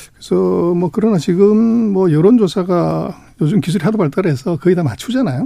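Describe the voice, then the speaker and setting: A man's high-pitched voice with a dark, mellow tone and lively intonation. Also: fairly quick pace. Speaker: economics research institute director. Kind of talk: interview.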